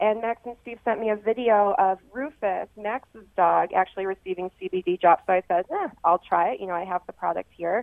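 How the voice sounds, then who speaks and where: With an American accent, a woman speaks at a moderate pace in an ordinary speaking voice, medium in pitch with ordinary pitch variation. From Rochester, western New York. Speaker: sports chiropractor. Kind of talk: radio interview.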